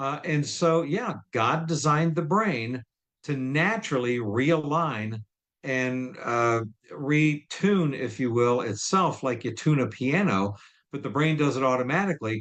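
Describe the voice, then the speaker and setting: A man talks in an ordinary speaking voice at a fairly high pitch. His pace is fairly slow and his intonation lively. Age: 60s. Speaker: client giving testimonial. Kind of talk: testimonial interview. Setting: live video stream.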